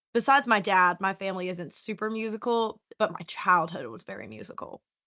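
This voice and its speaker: A woman with a Southern accent speaks at a fairly quick pace and medium pitch, her bright, sharp tone showing vocal fry and big swings in loudness. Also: ordinary pitch variation. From US South, Southwest Virginia (Appalachia). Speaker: musician. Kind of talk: interview.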